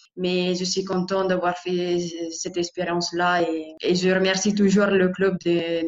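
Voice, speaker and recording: A woman with an Italian accent talks at a fairly slow pace and medium pitch. Her intonation is monotone and flat. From Italy, Lombardy (Bergamo area). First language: Italian (speaking French). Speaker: professional footballer. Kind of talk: interview. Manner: halting, with repeated words.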